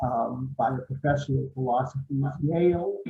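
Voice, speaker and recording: A man speaks in an American accent at a medium pitch. His voice is somewhat breathy. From US, Boston. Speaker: philosophy club speaker. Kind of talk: lecture. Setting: video call. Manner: hesitant, many fillers. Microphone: poor sound quality, echo.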